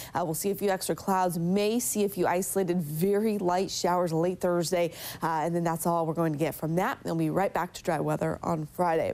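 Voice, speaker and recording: Upbeat in tone, a woman talks at a fairly quick pace and fairly low pitch, with hardly any pauses. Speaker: TV meteorologist. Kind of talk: local TV morning weather report, talking viewers through temperature maps. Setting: TV studio. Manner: brisk, upbeat and conversational, with frequent filler 'uh' and 'again'; friendly and reassuring, addressing commuters directly. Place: studio.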